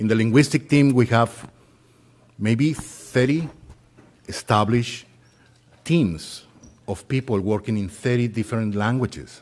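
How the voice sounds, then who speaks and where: A man at medium pitch with ordinary pitch variation, going at a fairly slow pace with long, frequent pauses. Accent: Spanish. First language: Spanish. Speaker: volunteer translation coordinator. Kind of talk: short announcement.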